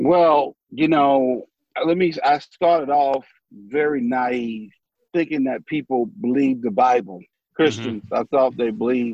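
A man's fairly slow delivery in a Southern US accent, with ordinary pitch variation. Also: medium pitch for a man. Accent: Southern US (Georgia). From US South, southwest Georgia / north Florida line. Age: 50s. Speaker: pastor. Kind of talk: casual chat.

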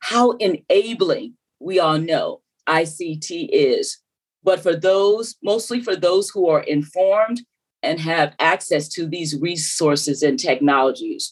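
At a very slow pace, a woman speaks in a medium pitch. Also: lively intonation. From US South, South Carolina. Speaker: former telecom regulator and AI commissioner. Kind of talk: interview.

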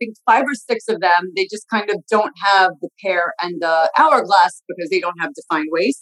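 Speaking in an American accent at a fairly quick pace with lively intonation, the woman has an ordinary speaking voice, recorded with a dry, close sound with no echo. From US, Long Island and New York City. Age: 40s. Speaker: fashion stylist and interior designer. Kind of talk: casual interview chat.

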